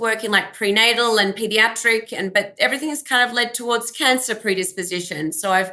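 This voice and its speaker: With an Australian accent, a woman talks fairly quickly in a fairly high pitch, her tone bright and sharp and her intonation fairly even. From Australia (Melbourne). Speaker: genetic counselor. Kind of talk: interview. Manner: halting, many fillers.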